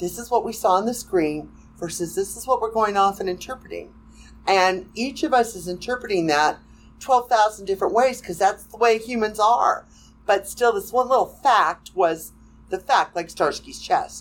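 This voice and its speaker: Her voice has vocal fry. The woman's volume rises and falls sharply. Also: medium pitch for a woman, ordinary pitch variation, moderate pace. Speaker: fan writer. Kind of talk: casual chat.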